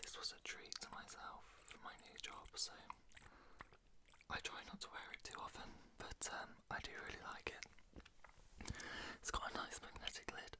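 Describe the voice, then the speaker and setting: A man whispering with a British accent at a moderate pace, broken by long, frequent pauses. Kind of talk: casual talk to camera. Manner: whispered.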